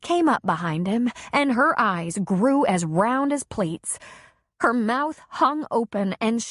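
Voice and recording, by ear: Lively intonation marks this reading aloud in a natural voice. The background is quiet.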